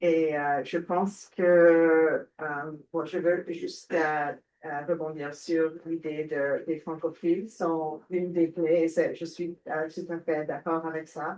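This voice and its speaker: A woman with an English accent speaks at a very slow pace, with hardly any pauses. Her pitch is fairly low and her intonation is monotone and flat. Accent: English-speaker accent in French. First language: English (speaking French). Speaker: panelist, French educator. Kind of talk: panel discussion. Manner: halting, many hesitations.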